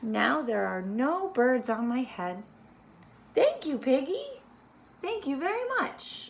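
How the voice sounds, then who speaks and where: In a raised, projected put-on character voice, a woman with a high pitch talks at a fairly slow pace with long, frequent pauses. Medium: read story. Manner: anxious, fretful.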